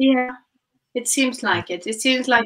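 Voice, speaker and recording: A woman speaks with a Norwegian accent in a bright, sharp tone. The background is quiet. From Norway. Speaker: guest. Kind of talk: casual chat. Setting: video call. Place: home room. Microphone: video call.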